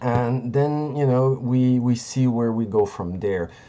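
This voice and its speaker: With a non-native accent, a man speaks in a dark, mellow tone and fairly even intonation. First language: not English. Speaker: crypto trading streamer. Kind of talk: live market analysis stream. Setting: live stream. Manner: halting, searching for words.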